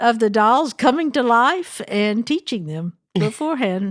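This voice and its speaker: A woman speaks at a fairly high pitch with very wide pitch swings. Her pace is fairly slow. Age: 70s. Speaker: family counselor and podcast co-host. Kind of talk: casual chat.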